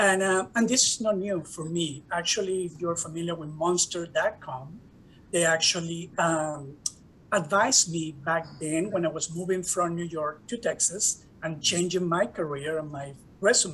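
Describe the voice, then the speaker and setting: With ordinary pitch variation, a man speaks at a moderate pace in a high pitch. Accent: Spanish. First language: Spanish. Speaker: professor and diversity director. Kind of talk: conference talk.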